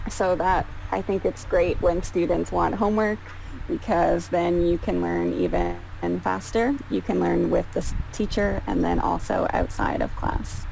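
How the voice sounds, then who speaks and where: Music sounds in the background. Over it, a woman talks at a fairly slow pace. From Canada. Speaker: English tutor. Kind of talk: online tutoring session. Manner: slow, simplified speech for a learner.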